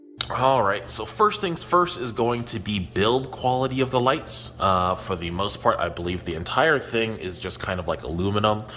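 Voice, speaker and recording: Over noticeable background noise, a man with a fairly low pitch speaks at a moderate pace with lively intonation and hardly any pauses. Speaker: aquarium hobbyist YouTuber. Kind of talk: product review. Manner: casual, many fillers.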